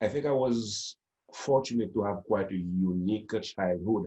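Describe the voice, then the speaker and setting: With lively intonation and a dark, mellow tone, a man talks at a moderate pace. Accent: Haitian. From Haiti, Port-au-Prince. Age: 50s. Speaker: storyteller. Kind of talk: interview conversation. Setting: video call.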